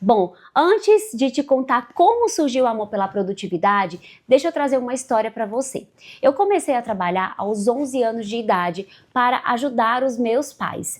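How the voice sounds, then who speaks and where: Her voice is high-pitched, with lively intonation. The woman speaks at a moderate pace. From Brazil, Bahia (interior). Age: 30s. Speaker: life coach. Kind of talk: online masterclass talk.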